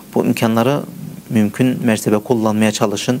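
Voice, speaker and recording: The speech comes at a fairly slow pace with fairly even intonation. Background noise is noticeable. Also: man. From Germany, Turkish family from Mersin. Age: 30s. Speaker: teacher of blind students, computer programmer. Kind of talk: interview. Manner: halting, many fillers.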